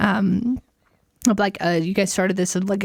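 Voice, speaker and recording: Her voice is somewhat breathy, medium in pitch, with fairly even intonation. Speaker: podcast host. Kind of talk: casual chat. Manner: hesitant, many fillers.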